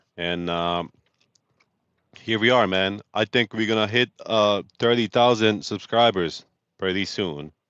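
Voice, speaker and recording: A man speaks at a fairly slow pace with long, frequent pauses and a slight Bosnian accent. His pitch is fairly low, with ordinary variation. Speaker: truck driver and live streamer. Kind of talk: casual live stream chat. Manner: animated.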